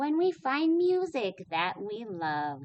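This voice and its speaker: Putting on a character voice, a woman speaks very slowly at a fairly high pitch. Her pitch swings very widely. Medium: read story.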